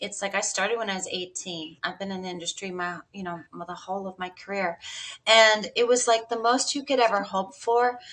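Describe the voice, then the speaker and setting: A woman with an ordinary speaking voice, medium in pitch with ordinary pitch variation, at a fairly quick pace, with big swings in loudness. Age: 60s. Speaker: music industry veteran. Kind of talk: casual chat.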